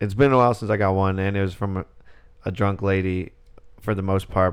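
A man speaks with a normal speaking voice. His pitch is fairly low. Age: 20s. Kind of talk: casual chat.

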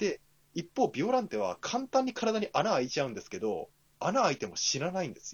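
Animated in tone, a man speaks with a high pitch at a fairly quick pace. His pitch swings very widely and his loudness shifts in big swings. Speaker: podcast co-host. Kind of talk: casual chat.

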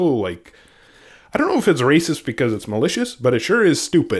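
A man at medium pitch with vocal fry, very wide pitch swings and a very fast pace. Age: 30s. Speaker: gaming podcast co-host. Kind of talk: casual chat. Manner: laughs often.

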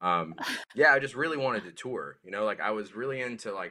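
The speaker has an American accent and a bright, sharp tone. The intonation is lively. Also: man. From US South, rural South Carolina. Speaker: musician. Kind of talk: casual chat. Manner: halting, repeats words.

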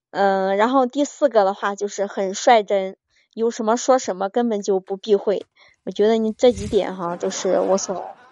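At a moderate pace, a woman talks at a medium pitch with fairly even intonation. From China, Henan. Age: 30s. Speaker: caller to a relationship advice show. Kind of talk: call-in chat. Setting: live-stream call-in.

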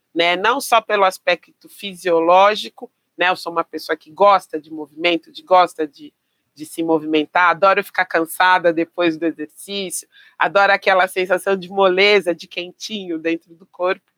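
A woman with an unremarkable speaking voice talks at medium pitch and a moderate pace, her intonation fairly even. Her loudness swings widely, and the sound is dry and close with no echo. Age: 50s. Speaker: physical education teacher. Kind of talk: interview conversation.

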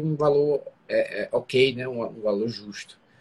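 A somewhat breathy male voice, fairly high in pitch. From Brazil, Fortaleza, Ceará. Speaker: restaurant entrepreneur co-host. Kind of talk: casual live business talk. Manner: halting, repeats words.

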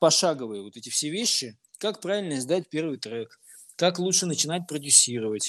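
Recorded very cleanly against a silent background, a man with a fairly high pitch uses lively intonation in a dry, close sound with no echo. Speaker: music producer and DJ. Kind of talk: interview.

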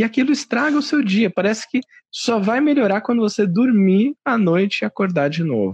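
Recorded with a dry, close sound and no echo, a man speaks at a high pitch with lively intonation and a moderate pace. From Brazil, São Paulo. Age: 30s. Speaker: podcast host and radio/TV communicator. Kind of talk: casual chat.

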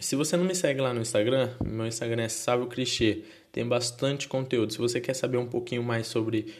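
A man talks with a Brazilian accent. His pitch sits in the medium range. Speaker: podcaster. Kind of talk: casual monologue. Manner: halting.

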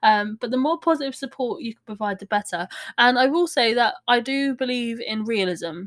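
On a very clean recording with a silent background and a dry, close sound with no echo, a woman talks at a fairly quick pace with fairly high pitch and lively intonation. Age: 30s. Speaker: podcast host with fibromyalgia. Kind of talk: casual solo talk. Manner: hesitant, many fillers.

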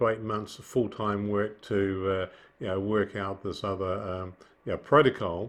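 This man has a fairly low pitch and a New Zealand accent. His intonation is fairly even. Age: 70s. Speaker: businessman, heart surgery patient. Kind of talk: casual interview. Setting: video call. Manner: hesitant, many fillers.

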